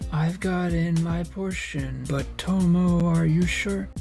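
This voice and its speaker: Clear background music under a put-on character voice, fairly slow in delivery. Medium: machinima.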